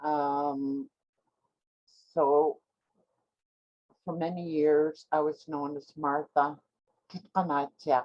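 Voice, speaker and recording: A woman speaks very slowly in a Canadian Arctic accent, her pitch very deep and low and her tone dark and mellow. Her intonation stays monotone and flat, and the sound is dry and close with no echo. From Nunavut, Canadian Arctic (Inuit). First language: Inuktitut. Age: 70s. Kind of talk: virtual educational talk. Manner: hesitant with many filler words.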